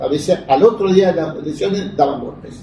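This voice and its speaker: This man talks at a fairly quick pace in a high pitch, with ordinary pitch variation and noticeable background noise. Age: 70s. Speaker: lawyer and political activist. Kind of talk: interview. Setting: interview in the evening.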